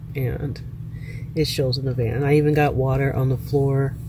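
Background noise is noticeable. The voice belongs to a woman. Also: dry sound with no echo. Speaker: van dweller vlogger. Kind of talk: casual vlog chat. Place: car. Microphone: phone near.

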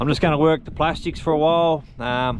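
A man speaks with fairly even intonation over noticeable background noise. The sound is dry, with no echo. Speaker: fishing vlogger. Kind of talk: casual vlog chat. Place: boat. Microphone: phone near.

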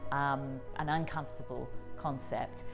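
Over clear music in the background, a woman speaks with ordinary pitch variation. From England. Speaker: comedian, writer and broadcaster. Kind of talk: interview answer. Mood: thoughtful, friendly. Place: hall.

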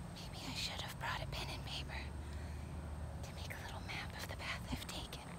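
A woman talks at a fairly quick pace with long, frequent pauses against loud background noise. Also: dry sound with no echo. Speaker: vlogger. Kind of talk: ASMR nature walk. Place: forest. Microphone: phone near.

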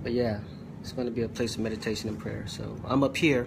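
A male voice with fairly even intonation comes through noticeable background noise. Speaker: preacher. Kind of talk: sermon. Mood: earnest, occasionally joking. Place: home room. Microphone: phone near.

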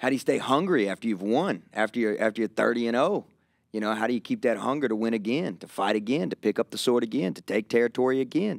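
In a rural Kentucky accent, the speaker talks at a very fast pace with ordinary pitch variation, the sound dry with no echo over a quiet background. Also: man. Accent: rural Southern US (Kentucky). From Kentucky, US South. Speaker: pastor. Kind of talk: casual conversational interview. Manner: animated. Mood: earnest, reflective. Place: studio. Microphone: studio mic.

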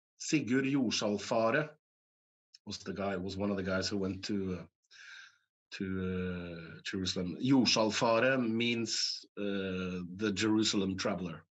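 Against a quiet background, a man speaks fairly slowly at a fairly low pitch with ordinary pitch variation. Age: 50s. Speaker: actor; actor guest. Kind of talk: interview. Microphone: video call.

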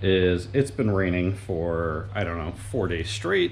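There is light noise in the background. A man's speech unfolds at a fairly slow pace. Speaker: car vlogger. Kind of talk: casual vlog chat. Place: garage. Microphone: phone near.

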